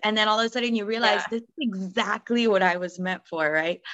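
The recording has a quiet background. A woman with a normal speaking voice talks at a fairly high pitch with ordinary pitch variation. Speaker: podcast host. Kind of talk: casual interview.

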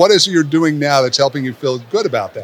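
A man speaks very fast at a fairly high pitch. Noticeable background noise runs underneath. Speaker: podcast host, retirement advisor. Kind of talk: interview. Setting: conference venue.

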